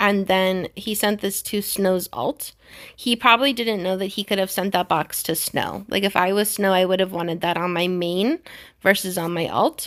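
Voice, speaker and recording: Speaking with an American accent, a woman has an ordinary speaking voice at a medium pitch, moving at a moderate pace with ordinary pitch variation on a very clean recording with a silent background. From US. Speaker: gaming youtuber. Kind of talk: tutorial.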